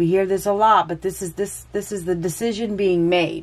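A woman's intonation stays fairly even while she keeps to a moderate pace. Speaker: tarot reader. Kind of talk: tarot reading commentary.

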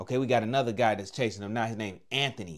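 In a quiet background, a man with an unremarkable speaking voice talks at a fairly quick pace with fairly low pitch and ordinary pitch variation. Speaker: reaction video host. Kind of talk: commentary. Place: home room. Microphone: lapel.

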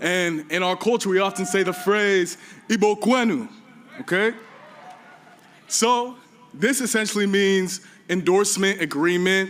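Fairly slow delivery with long, frequent pauses, very even loudness and ordinary pitch variation. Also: man, high pitch for a man. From Nigeria. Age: 20s. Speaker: graduating student, valedictorian. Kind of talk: graduation speech. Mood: warm, playful, honored. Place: stage. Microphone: podium.

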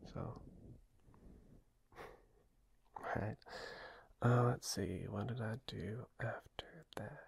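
A man whispering in a gentle tone, very slowly, with long, frequent pauses. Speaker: ASMR creator. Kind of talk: ASMR girlfriend roleplay, soft talk to listener. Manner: soft-spoken, gentle, caring, rambling. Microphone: studio mic.

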